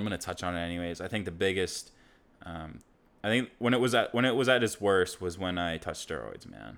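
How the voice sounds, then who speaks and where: A man speaks very fast at a fairly low pitch with ordinary pitch variation, on a very clean recording with a silent background. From South Africa, moved to UK at six. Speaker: podcast co-host. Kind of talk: casual chat.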